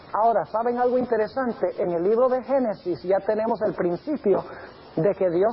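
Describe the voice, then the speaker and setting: With noticeable background noise behind him, a man speaks at a moderate pace in a high pitch, with ordinary pitch variation. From Colombia and Venezuela (missionary parents). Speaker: pastor. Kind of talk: sermon. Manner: conversational, engaging audience with questions; some hesitations and repetitions.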